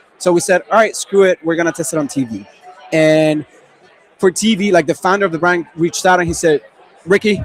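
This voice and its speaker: A man with a Spanish accent speaks in a high voice with ordinary pitch variation. Crowd noise can be heard in the background. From Venezuela. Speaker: e-commerce marketing expert. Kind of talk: panel discussion. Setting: livestream panel.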